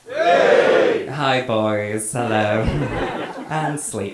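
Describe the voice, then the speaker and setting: A man at a very slow pace, with crowd noise in the background. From Manchester, England. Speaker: stand-up comedian. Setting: stage with live audience. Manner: cheeky, camp and flamboyant, laughing at his own punchlines; chatty and rambling, peppered with ums and swearing. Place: stage.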